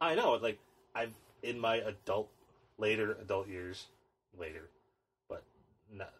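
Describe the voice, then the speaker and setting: A somewhat breathy voice at a moderate pace, with long, frequent pauses, ordinary pitch variation and big swings in loudness. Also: man, fairly low pitch for a man. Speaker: podcast co-host. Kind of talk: casual chat. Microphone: new microphone setup.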